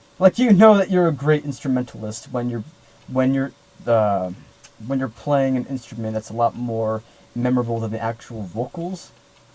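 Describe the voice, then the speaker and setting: Over noticeable background noise, a man with a medium-pitched voice speaks at a moderate pace and with lively intonation. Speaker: music podcast co-host. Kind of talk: casual chat.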